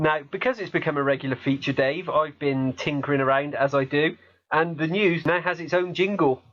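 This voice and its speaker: With a slight Gloucestershire accent, a man talks at a moderate pace in a fairly high pitch with ordinary pitch variation. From Gloucestershire, England. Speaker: podcast host. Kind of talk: casual chat. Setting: Skype call.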